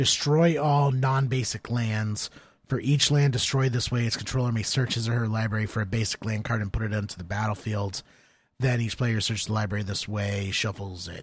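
On a very clean recording with a silent background, a somewhat breathy man speaks at medium pitch and a fairly quick pace with ordinary pitch variation. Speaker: podcast co-host and card game player. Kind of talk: casual chat.

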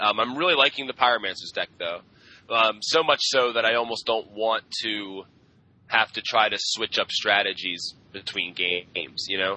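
An ordinary speaking voice from a man, medium in pitch, at a fairly quick pace with ordinary pitch variation. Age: 20s. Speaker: podcast co-host. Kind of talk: casual chat.

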